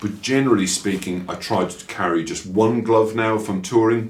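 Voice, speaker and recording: This man speaks in an Irish accent at a medium pitch for a man. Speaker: motorcycle vlogger. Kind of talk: casual product review vlog.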